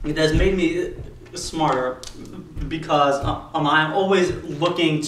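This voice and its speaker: Against noticeable background noise and audible room echo, the speech moves at a fairly slow pace. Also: man. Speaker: vlogger. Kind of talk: personal video monologue. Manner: halting with repetitions.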